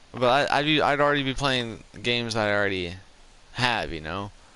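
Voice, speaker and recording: A man at a moderate pace with lively intonation, with audible room echo around his voice. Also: long, frequent pauses. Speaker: gaming streamer. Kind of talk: casual chat. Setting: live stream.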